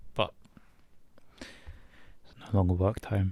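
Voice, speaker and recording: The voice is soft-spoken and somewhat breathy, with a dark, mellow tone. The recording is very clean, with a silent background. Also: man. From British. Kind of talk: ASMR boyfriend roleplay.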